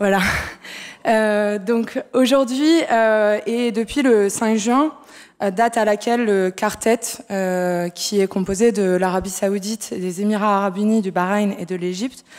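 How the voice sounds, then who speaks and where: On a very clean recording with a silent background, a woman of medium pitch speaks at a very slow pace with ordinary pitch variation. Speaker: researcher. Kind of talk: conference talk. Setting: conference hall with audience. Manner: hesitant.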